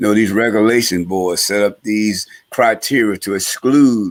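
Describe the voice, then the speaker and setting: Using a plain, everyday voice, a man talks at a moderate pace and medium pitch with fairly even intonation. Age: 60s. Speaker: former gang leader, reentry advocate and professor. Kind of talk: talk show interview. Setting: live-streamed talk show.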